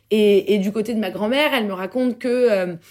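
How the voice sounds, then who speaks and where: A woman's normal speaking voice, medium in pitch, at a moderate pace with ordinary pitch variation. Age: 20s. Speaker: entrepreneur. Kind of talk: casual chat.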